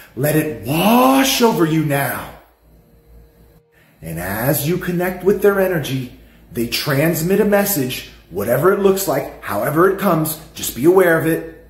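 A man at a fairly slow pace, with audible room echo and faint music in the background. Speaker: spiritual guide. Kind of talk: guided exercise instruction. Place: home room. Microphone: phone near.

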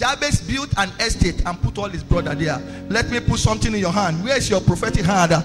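A man speaks at a fairly quick pace while clear music plays in the background. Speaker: preacher. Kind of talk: sermon. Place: church. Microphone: handheld.

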